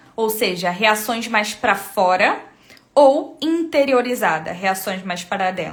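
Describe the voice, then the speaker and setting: Amid audible room echo, a woman speaks very slowly with lively intonation. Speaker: temperament coach and live streamer. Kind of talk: live stream teaching. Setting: live stream.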